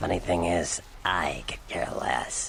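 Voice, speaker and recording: In a put-on character voice, a man speaks raspily at a fairly slow pace over light background noise. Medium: video game. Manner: casual, sardonic, streetwise.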